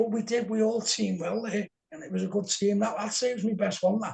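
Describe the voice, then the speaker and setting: A man speaks with a Liverpool accent and ordinary pitch variation. His tone is dark and mellow. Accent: Scouse. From Liverpool, England. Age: 60s. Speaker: game show contestant, paranormal event organiser. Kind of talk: podcast interview.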